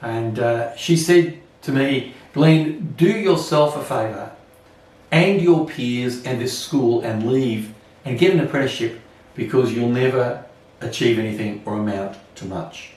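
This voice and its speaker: With an Australian accent, a man talks at a fairly slow pace in a medium pitch with lively intonation, amid noticeable background noise and audible room echo. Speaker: Anglican priest. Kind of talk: sermon. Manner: self-conscious speaker.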